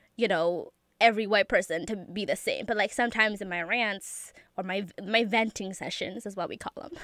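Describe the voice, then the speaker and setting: A woman talks fairly quickly at a medium pitch, with ordinary pitch variation and big swings in loudness. She has a normal speaking voice. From Ethiopia until age 8, then raised in US. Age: 20s. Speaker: college student. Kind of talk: interview. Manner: casual, laughing often.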